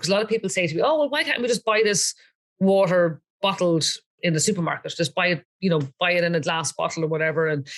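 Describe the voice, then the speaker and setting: This woman talks at a very fast pace. Her pitch is fairly low, with ordinary variation. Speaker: water filter seller / wellness advocate. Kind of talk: casual interview with product demonstration. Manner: animated.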